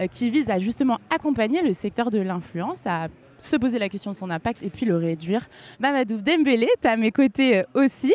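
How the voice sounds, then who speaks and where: A woman with an unremarkable speaking voice, fairly high in pitch, with lively intonation, a moderate pace, and a dry, close sound with no echo. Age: 20s. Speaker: podcast host, content creator. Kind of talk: scripted intro; live podcast interview. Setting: live event with audience.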